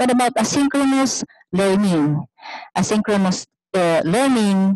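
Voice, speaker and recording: A woman at a very slow pace with ordinary pitch variation, over a quiet background, the sound dry with no echo. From Philippines. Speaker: university professor. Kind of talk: webinar presentation. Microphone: video call.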